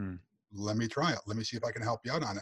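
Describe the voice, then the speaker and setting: A man with an American accent sounds somewhat breathy, his intonation fairly even. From US Northeast (Western New York, rural). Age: 50s. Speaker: entrepreneur, speaker and author; military veteran. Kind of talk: interview, casual chat.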